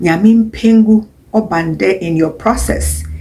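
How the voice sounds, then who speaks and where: Here a woman speaks at a fairly low pitch. Her voice is somewhat breathy. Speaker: mammography technologist. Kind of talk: health talk.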